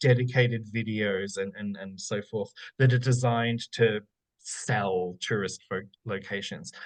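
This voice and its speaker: With an Australian accent, a man talks at medium pitch with ordinary pitch variation. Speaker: academic researcher. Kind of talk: Q&A after lecture. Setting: online forum. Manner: hesitant, many fillers.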